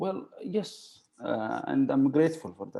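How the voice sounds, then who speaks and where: A man speaks with an Arabic accent. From Saudi Arabia, Riyadh. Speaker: university alumnus. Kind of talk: interview. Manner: halting, many fillers.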